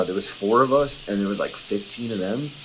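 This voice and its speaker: A man's fairly low voice at a very fast pace, with fairly even intonation and noticeable background noise. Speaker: video submitter asking for advice. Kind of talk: recorded video message.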